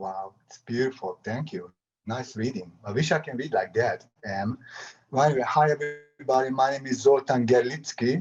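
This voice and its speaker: A man with a Hungarian accent speaks at medium pitch in a somewhat breathy voice. His loudness swings widely. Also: ordinary pitch variation, moderate pace. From Hungary. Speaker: photographer. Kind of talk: panel discussion. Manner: halting.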